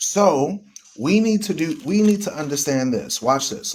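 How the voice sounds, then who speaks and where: A man speaks loudly at a moderate pace. His tone is animated. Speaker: online radio host. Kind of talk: live stream talk on religion. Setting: live stream. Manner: animated, emphatic.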